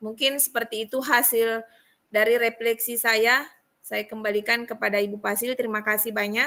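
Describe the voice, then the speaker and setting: On a very clean recording with a silent background, a woman with a strong Buginese accent speaks at a moderate pace in a fairly high, bright, sharp voice with monotone, flat intonation. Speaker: teacher in coaching training. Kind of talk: reflection report in training session. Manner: hesitant with fillers.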